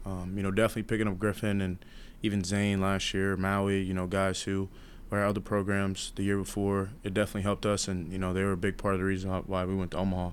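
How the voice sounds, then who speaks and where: A man speaks at a very fast pace with an American accent. His fairly low voice stays flat and monotone. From New York. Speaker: college baseball player. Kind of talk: interview. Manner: relaxed with many fillers.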